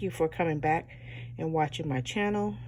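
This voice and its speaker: Dark and mellow in tone, a woman speaks at a very deep, low pitch with vocal fry and lively intonation. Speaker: planner hobby YouTuber. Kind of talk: tutorial. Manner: casual, hesitant with fillers.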